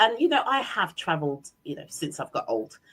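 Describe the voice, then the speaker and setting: A voice in an English accent with an animated tone and very wide pitch swings. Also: woman. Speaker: business owner and leadership trainer. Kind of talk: interview.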